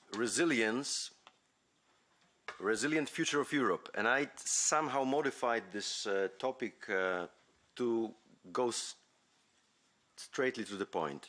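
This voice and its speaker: A man with a Polish accent speaks at a very slow pace and a medium pitch. His intonation is lively, broken up by long, frequent pauses. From Poland (Poznań). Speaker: university academic and foundation president. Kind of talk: conference talk. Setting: conference hall. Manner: halting, many fillers.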